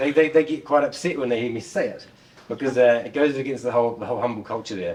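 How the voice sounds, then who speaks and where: A man with a New Zealand accent at a very fast pace, over noticeable background noise. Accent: Kiwi. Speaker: conference speaker, software developer and former rock musician. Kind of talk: tech conference talk.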